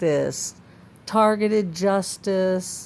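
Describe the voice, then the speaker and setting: This woman's voice sits at medium pitch. Her intonation stays fairly even. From Florida (Tampa). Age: 60s. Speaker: vlogger. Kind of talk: personal testimony.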